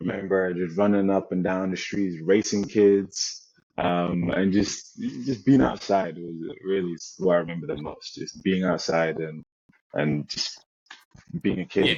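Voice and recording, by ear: The man's voice is low-pitched and slightly mellow, with fairly even intonation and a fairly slow pace.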